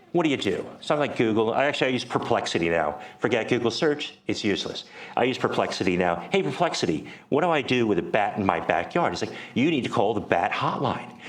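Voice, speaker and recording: Over noticeable background noise and audible room echo, a man at medium pitch talks at a very fast pace with very wide pitch swings yet very even loudness. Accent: American. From United States. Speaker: startup program director. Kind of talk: conference talk. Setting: meetup with live audience. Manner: animated storytelling.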